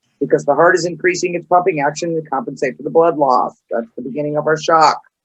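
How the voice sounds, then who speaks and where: Very fast speech from a man with a fairly high pitch and fairly even intonation. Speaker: EMT instructor. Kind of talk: lecture.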